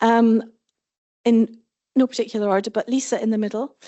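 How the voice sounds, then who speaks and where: A fairly high-pitched woman in a Scottish accent, with fairly even intonation. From Scotland. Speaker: panel moderator, head of professional association. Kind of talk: conference panel moderation. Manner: fast.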